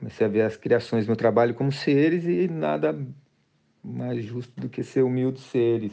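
A man's dark, mellow voice at medium pitch, with lively intonation and a moderate pace. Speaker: artist. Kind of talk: interview. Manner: halting.

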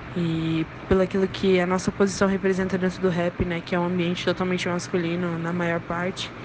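A woman speaking at a moderate pace in a flat monotone, with noticeable background noise. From Brazil, Londrina (Paraná). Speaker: rapper and singer. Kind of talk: interview.

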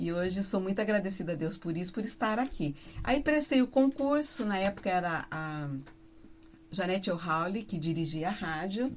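Her intonation lively, a woman speaks at a medium pitch and a moderate pace. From Paraná, Brazil (Mamborê, near Campo Mourão). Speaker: radio announcer and singer. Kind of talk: casual interview. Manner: talkative.

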